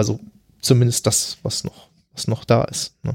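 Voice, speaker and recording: The voice is somewhat breathy with a dark, mellow tone, and the sound is dry and close with no echo. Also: man. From Germany. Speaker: podcast guest. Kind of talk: casual conversation about grief. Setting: in person at his home.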